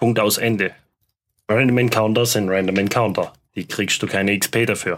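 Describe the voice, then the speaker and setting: This man speaks in a normal speaking voice at medium pitch, keeping a moderate pace and a fairly even intonation. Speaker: tabletop game master. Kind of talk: casual chat.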